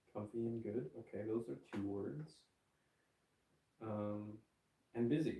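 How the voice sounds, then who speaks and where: A man with a medium pitch and a dark, mellow tone speaks at a fairly slow pace with vocal fry. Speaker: livestreamer. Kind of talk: casual livestream chat. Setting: bedroom livestream. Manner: quiet, hushed; halting, many fillers.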